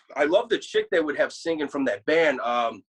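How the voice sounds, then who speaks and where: A man at a moderate pace. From Chicago, US (born in Krakow, Poland). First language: Polish. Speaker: death metal guitarist. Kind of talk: casual chat. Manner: animated.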